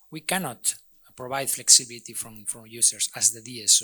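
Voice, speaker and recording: A man with a Spanish accent at a moderate pace. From Spain. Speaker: energy utility expert, conference panelist. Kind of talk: panel discussion. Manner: halting, many repetitions and fillers.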